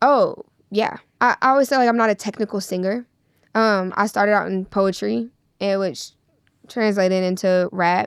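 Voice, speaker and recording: A woman speaks at a moderate pace with long, frequent pauses. Her pitch is medium with ordinary variation, in a very clean recording with a silent background. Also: dry, close sound with no echo. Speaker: rapper. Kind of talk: interview. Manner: halting.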